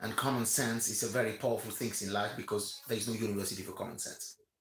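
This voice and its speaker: Flat and monotone, a man with a medium pitch talks at a very fast pace, sounding somewhat breathy. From Romania. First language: not English (English is third language). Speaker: commentator. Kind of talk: rant. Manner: halting, many fillers and repetitions.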